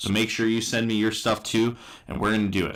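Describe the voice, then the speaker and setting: A man talks at a medium pitch. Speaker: sports watch party streamer. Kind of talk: live stream reaction chat. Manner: loud.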